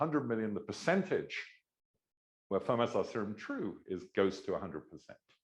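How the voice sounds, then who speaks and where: A man with an English accent speaks at a fairly quick pace. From England. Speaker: mathematics professor. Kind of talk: lecture. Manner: hesitant, many filler words.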